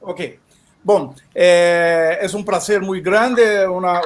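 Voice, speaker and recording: Speaking in a Portuguese accent, a man with a high pitch keeps his intonation monotone and flat. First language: Portuguese (speaking Spanish). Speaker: event coordinator. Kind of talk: panel talk. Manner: halting.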